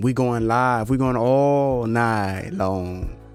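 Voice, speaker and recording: With clear background noise present, a man's pitch varies in a normal way. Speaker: beat maker and live streamer. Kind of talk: live stream casual chat. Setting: live stream from home studio.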